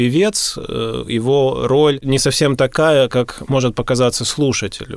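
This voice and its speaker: The pace is very slow. A man speaks at medium pitch. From Russia, Gatchina near St Petersburg. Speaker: vocal teacher. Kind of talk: radio interview.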